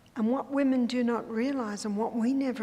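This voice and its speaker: A woman with an Australian accent speaks in a high pitch at a moderate pace. Audible room echo surrounds her voice. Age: 70s. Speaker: health educator and speaker. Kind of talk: lecture.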